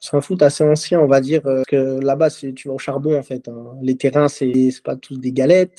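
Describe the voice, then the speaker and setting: A man with a fairly high pitch and a dark, mellow tone speaks in a monotone, flat intonation at a moderate pace with hardly any pauses. The sound is dry and close, with no echo. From Martinique, then Rennes from childhood. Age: 20s. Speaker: football player. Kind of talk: interview. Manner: hesitant, many fillers.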